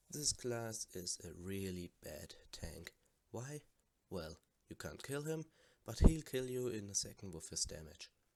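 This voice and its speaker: A quiet man with a German accent speaks at a medium pitch and a fairly slow pace. His pitch swings very widely, and his loudness rises and falls a lot. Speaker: gamer. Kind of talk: casual game commentary.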